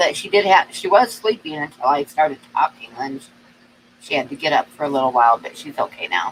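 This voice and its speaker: A woman is recorded with a dry, close sound with no echo, though noticeable background noise comes through. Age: 60s. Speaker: livestream co-host. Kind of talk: casual chat. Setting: live stream.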